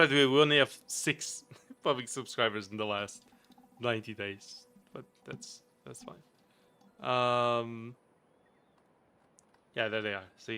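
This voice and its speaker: A man speaks at a medium pitch, with a slight Portuguese accent and a bright, sharp tone. His pace is fairly slow, with ordinary pitch variation, big swings in loudness, and long, frequent pauses. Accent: slight Portuguese accent, hardly noticed. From Portugal. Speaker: gaming streamer. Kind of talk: casual chat. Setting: live stream.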